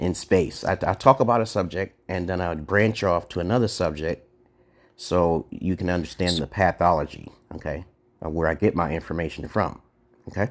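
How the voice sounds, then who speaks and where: Speaking with a New York accent, a man has a very deep, low pitch with ordinary variation. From Brooklyn, New York. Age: 40s. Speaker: live streamer. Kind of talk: casual chat. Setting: livestream. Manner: fast.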